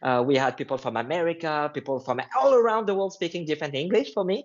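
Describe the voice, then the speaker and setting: A man talks at a fairly quick pace with lively intonation and a French accent. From France. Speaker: line dance instructor. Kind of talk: casual chat.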